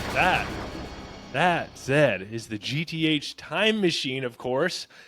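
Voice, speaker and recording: Over music in the background, a man speaks at a fairly high pitch with lively intonation. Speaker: podcast co-host, food entrepreneur. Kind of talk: casual chat. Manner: slow while searching for sound clips.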